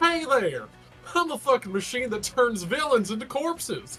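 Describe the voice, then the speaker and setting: A put-on character voice, fairly high in pitch, at a moderate pace over clear background music. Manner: silly.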